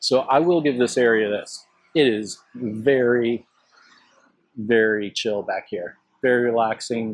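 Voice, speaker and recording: Fairly slow, fairly even speech in an American accent, with long, frequent pauses. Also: man, medium pitch for a man. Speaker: travel vlogger. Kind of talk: walking tour vlog. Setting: outdoors. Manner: casual, conversational.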